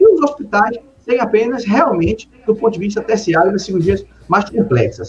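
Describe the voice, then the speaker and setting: A man speaks at a high pitch at a moderate pace. His pitch variation is ordinary. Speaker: city councillor and mayoral pre-candidate, emergency doctor. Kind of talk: political interview. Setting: live stream interview.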